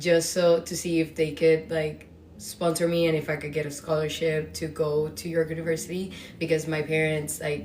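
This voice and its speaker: A woman's fairly low voice with a Spanish accent, fairly even intonation and a moderate pace. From Dominican Republic. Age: 20s. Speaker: podcast host. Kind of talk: casual storytelling monologue. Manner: casual with many fillers.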